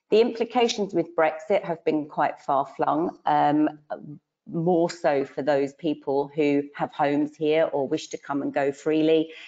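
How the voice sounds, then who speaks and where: A woman speaks with a British accent and a very deep, low pitch. Her pitch varies in an ordinary way. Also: fairly slow pace. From UK. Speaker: financial adviser. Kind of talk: webinar panel presentation. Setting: online webinar.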